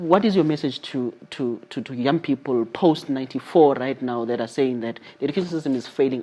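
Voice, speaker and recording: Noticeable background noise surrounds a man speaking at a fairly quick pace. His pitch is medium, with ordinary variation. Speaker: interview show host. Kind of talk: interview.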